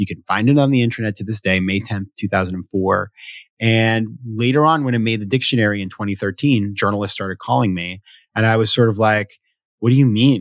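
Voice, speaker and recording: In an American accent, a man with an unremarkable speaking voice, fairly low pitch and ordinary pitch variation talks fairly quickly on a very clean recording with a silent background. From US Northeast, Sanford, Maine. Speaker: venture capitalist and author. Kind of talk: casual interview conversation.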